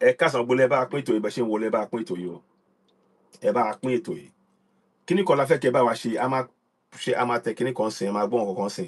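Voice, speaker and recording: Speaking with a Yoruba accent, a man at a medium pitch moves at a very fast pace with long, frequent pauses and lively intonation. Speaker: online radio host. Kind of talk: livestream broadcast. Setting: live online stream.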